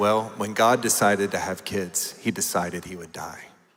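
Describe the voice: Putting on a raspy character voice, a man speaks in a solemn, serious tone at a moderate pace and fairly low pitch, with fairly even intonation and big swings in loudness.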